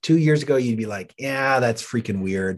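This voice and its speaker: Over a quiet background, a man with a Canadian accent speaks in an unremarkable speaking voice at a medium pitch and moderate pace, with lively intonation. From Canada. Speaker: pastor. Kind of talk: interview.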